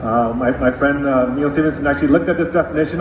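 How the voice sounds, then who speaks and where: A man talks at a very fast pace with a fairly high pitch. Noticeable background noise and audible room echo surround him. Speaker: tech executive, conference speaker. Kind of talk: conference keynote talk.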